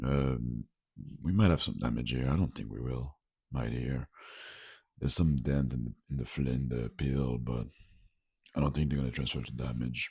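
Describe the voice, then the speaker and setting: A man's very deep, low voice with a dark, mellow tone, fairly even intonation, moderate pace and long, frequent pauses. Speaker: food vlogger. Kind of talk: casual video vlog. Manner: casual, hesitant with fillers.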